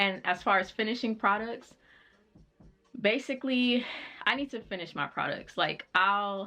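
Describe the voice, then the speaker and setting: A woman speaks with music in the background. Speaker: lifestyle YouTuber. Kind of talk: casual chat.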